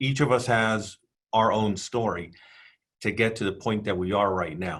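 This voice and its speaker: A man at a fairly low pitch and moderate pace, with ordinary pitch variation. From refugee family, raised in the US. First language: Spanish. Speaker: airport executive. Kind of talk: panel discussion.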